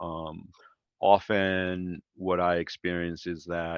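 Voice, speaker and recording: Very slowly and in a monotone, flat intonation, a man speaks with a very deep, low pitch. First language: not English. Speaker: ecommerce executive. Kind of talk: podcast interview. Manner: hesitant, many fillers.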